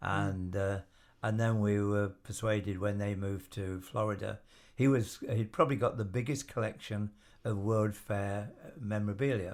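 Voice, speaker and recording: A man speaks in an English Midlands accent at a fairly low pitch and moderate pace. His intonation is fairly even, in a very clean recording with a silent background. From England, Stratford-upon-Avon, Warwickshire. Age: 80s+. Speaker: retired businessman and volunteer. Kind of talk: interview. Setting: studio. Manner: hesitant, many fillers.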